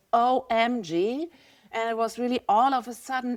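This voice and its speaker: Recorded very cleanly with a silent background and a dry, close sound with no echo, a woman with a German accent speaks at a moderate pace. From Germany. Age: 50s. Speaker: visual artist. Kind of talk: podcast interview.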